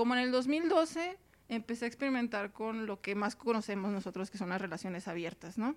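At a fairly quick pace, a woman talks in a plain, everyday voice pitched fairly high. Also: lively intonation. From Mexicali, Baja California, Mexico. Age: 30s. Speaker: sociologist, polyamory researcher. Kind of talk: casual interview chat.

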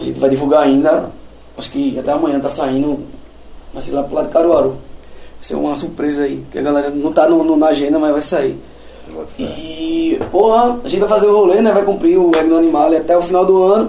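Over noticeable background noise and audible room echo, the speaker talks at a fairly quick pace with ordinary pitch variation. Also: man. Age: 30s. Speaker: metal drummer. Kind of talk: casual chat.

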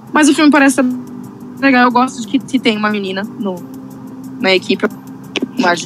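Noticeable background noise sits behind a woman with a fairly high pitch and ordinary pitch variation. She talks at a fairly quick pace with long, frequent pauses. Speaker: film podcast co-host. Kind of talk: casual chat. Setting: live stream.

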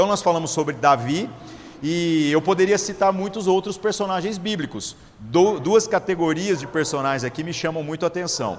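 There is noticeable background noise as a man speaks at a moderate pace. His pitch is high, with ordinary pitch variation. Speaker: pastor. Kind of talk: sermon. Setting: church.

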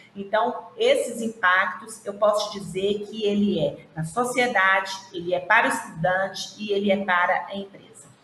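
At a moderate pace and with fairly even intonation, the speaker comes through noticeable background noise and audible room echo. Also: woman, medium pitch for a woman. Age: 50s. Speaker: regional manager of an internship institute. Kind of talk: interview on a live stream.

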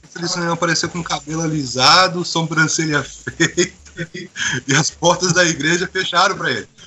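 A man at a moderate pace and fairly high pitch, over noticeable background noise. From Brazil and Boston, US. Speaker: church member, translator. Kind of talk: casual chat.

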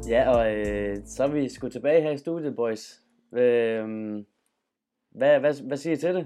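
With music in the background, a man speaks at a very slow pace and ordinary pitch variation. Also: medium pitch for a man. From Denmark, Funen. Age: 20s. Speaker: journalism student and podcast host. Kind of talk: casual chat. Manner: halting.

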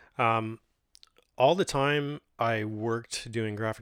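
A man in a relaxed tone with a Californian accent, the sound dry and close with no echo. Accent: Californian American English. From Modesto, California (Central Valley, US West Coast). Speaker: podcast host and graffiti muralist. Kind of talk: solo autobiographical monologue, casual personal storytelling to listeners. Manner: halting and filler-heavy, frequent ums, uhs and self-restarts; relaxed, conversational and unhurried.

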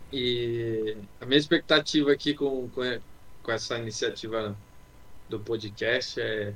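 He speaks at a fairly slow pace. His voice is a man's medium pitch. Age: 20s. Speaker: podcast co-host. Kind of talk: casual chat. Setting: closed room at home, video call.

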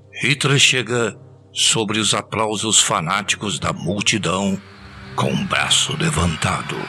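Over music in the background, a man with a fairly low pitch speaks at a very slow pace in a solemn, theatrical tone. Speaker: podcast narrator. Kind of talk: dramatic scripted narration of a novel over music. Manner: solemn, theatrical, building tension.

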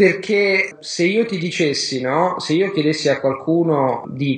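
Noticeable background noise under a man's fairly slow speech, ordinary pitch variation throughout. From Rome, Italy. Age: 30s. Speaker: polyglot and language learning teacher. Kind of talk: interview.

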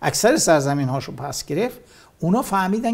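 A man speaks fairly quickly in a somewhat breathy voice, swinging his pitch very widely. The recording is very clean, with a silent background. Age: 60s. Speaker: war veteran. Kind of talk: interview.

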